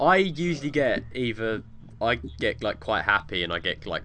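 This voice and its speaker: With a southern English accent, a man speaks at a moderate pace. His tone is bright and sharp, and his intonation lively. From England. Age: 20s. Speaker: podcast co-host. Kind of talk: casual chat.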